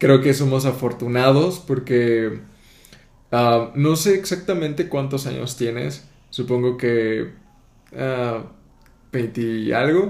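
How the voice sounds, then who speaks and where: A man talks at a very slow pace, with audible room echo around his voice. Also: medium pitch for a man, ordinary pitch variation. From southern Mexico, Tapachula near Guatemala border. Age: 20s. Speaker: podcast host. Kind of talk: casual interview chat.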